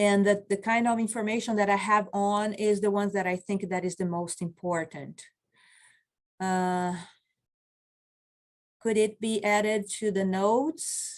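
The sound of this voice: Her medium-pitched voice holds fairly even intonation as this woman speaks. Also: fairly slow pace.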